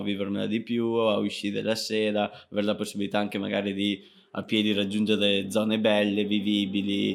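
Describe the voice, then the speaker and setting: Moving at a fairly quick pace, a man speaks at a fairly low pitch in a monotone, flat delivery. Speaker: podcast co-host. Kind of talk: casual chat. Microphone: new quality microphone.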